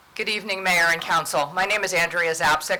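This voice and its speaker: At a very fast pace, a woman talks in a fairly low pitch over noticeable background noise. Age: 60s. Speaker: nonprofit prevention director. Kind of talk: formal presentation. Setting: council meeting.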